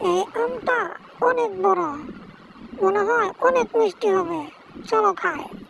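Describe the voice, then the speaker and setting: A woman does a cartoonish character voice at an extremely high pitch. She goes at a fairly slow pace over clear background noise. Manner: bright, upbeat.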